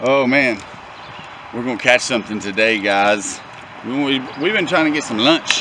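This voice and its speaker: With lively intonation, a man speaks at a moderate pace in a dry sound with no echo, though noticeable background noise is present. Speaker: outdoor vlogger. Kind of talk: casual vlog chat. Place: waterside. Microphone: phone near.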